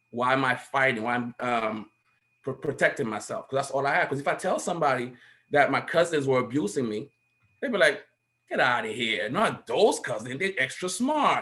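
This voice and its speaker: The voice has a bright, sharp, animated tone and lively intonation at a moderate pace. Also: man, fairly high pitch for a man. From Haiti. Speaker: panel guest. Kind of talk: personal testimony in panel discussion. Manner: halting with repetitions.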